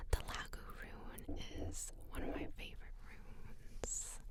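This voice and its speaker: The speaker is whispering. Background noise is noticeable. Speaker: psychic medium, ASMR reader. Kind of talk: ASMR full moon card and rune reading. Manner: whispered, soft.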